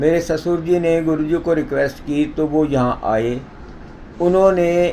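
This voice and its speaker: Noticeable background noise sits under a man's fairly high voice. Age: 60s. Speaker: president of a yoga society. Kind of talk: interview testimony.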